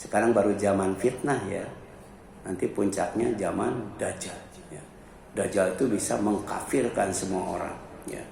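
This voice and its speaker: A man at a moderate pace with ordinary pitch variation, amid noticeable background noise and audible room echo. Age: 60s. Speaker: Islamic preacher. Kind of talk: sermon. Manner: conversational, frequent filler 'ya'.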